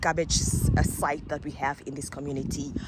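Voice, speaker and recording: Against noticeable background noise, a woman with a non-native accent talks at a moderate pace with fairly even intonation. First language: not English. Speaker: vlogger. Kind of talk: casual vlog. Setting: outdoors.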